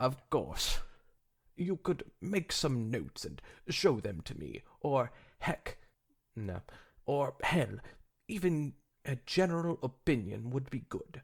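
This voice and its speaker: Using a put-on character voice at a medium pitch, a man talks fairly slowly with long, frequent pauses on a very clean recording with a silent background. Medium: read story. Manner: excited.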